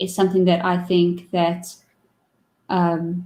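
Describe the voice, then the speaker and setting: A woman's voice of medium pitch with a dark, mellow tone. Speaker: talk show host and streamer. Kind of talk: casual chat.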